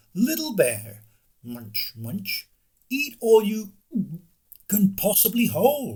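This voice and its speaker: Using a put-on character voice, a man speaks at a high pitch. He goes very slowly, with long, frequent pauses. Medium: read story.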